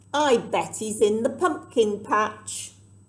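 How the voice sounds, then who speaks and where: A female-sounding, put-on character voice speaks at a fairly slow pace. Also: fairly high pitch for a woman. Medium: read story. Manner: snappish, scornful.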